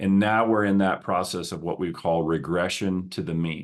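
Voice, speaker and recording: A man talks in a slight Southern US accent at a moderate pace. The background is quiet. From US South. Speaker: podcast host, business coach. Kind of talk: solo podcast talk. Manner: conversational, with some stammering repetitions.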